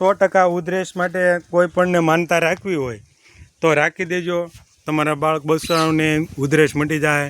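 This man has a fairly high pitch and fairly even intonation. It is an ordinary speaking voice. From Gujarat coastal village. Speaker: village vlogger. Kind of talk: video tour narration. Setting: outdoors at seaside temple.

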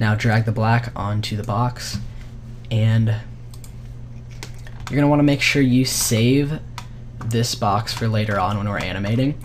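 A man speaks at a fairly slow pace. Room echo is audible, and there is noticeable background noise. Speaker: vfx tutorial youtuber. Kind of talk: tutorial.

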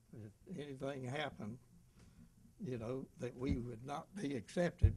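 A man speaks at a moderate pace, his voice somewhat breathy. Light background noise is present. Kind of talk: interview answer.

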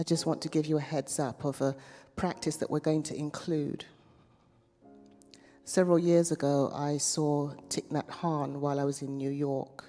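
Faint music plays in the background as a woman with a very deep, low pitch speaks at a moderate pace with fairly even intonation and long, frequent pauses. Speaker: meditation guide; minister. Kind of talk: guided meditation. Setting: chapel. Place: church. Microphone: handheld.

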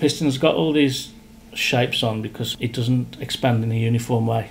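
A man at a moderate pace, with ordinary pitch variation and light background noise. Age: 50s. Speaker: piston company director and machinist. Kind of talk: technical explanation in workshop. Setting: factory workshop. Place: office.

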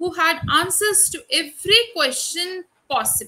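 With a bright, sharp tone, a woman's voice is raised and projected. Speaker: university lecturer. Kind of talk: lecture. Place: home room. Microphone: webcam.

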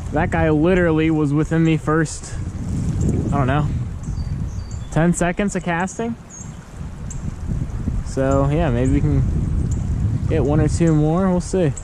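Fairly slow speech broken by long, frequent pauses, dry with no echo, over noticeable background noise. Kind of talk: casual vlog chat. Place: waterside. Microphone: phone near.

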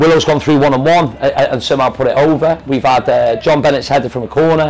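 A man at a fast pace with a slightly mellow tone over faint background noise

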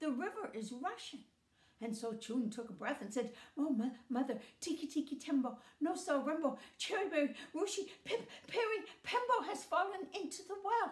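A woman speaks at a moderate pace with a high pitch. Room echo is audible around her voice. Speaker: storyteller. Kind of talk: storytelling with character voices. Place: home room. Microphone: phone near.

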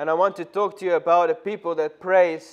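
The setting is quiet. A man talks rather slowly. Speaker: preacher. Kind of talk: sermon. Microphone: podium.

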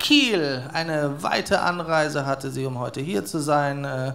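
His pitch is fairly high and varies in an ordinary way. This man talks very slowly. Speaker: event host. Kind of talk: stage moderation. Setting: live stage. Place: stage. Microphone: handheld.

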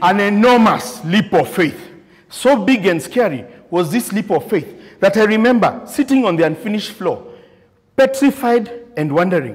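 Lively intonation at a moderate pace over a quiet background. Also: man. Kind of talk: prepared contest speech. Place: meeting room.

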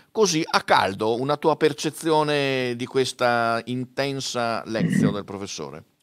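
Over a quiet background, a man talks at a fairly slow pace with lively intonation and hardly any pauses. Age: 60s. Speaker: event moderator. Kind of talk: hosted panel discussion. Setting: studio. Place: studio. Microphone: studio mic.

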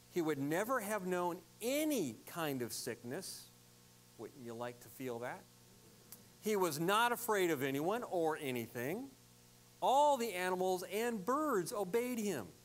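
With long, frequent pauses, a man speaks at a fairly slow pace. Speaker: pastor. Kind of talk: sermon. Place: church.

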